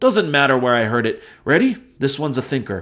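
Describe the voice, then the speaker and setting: A gruff, put-on character voice rattles along at a very fast pace on a very clean recording with a silent background. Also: man. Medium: read story. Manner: gruff, playful.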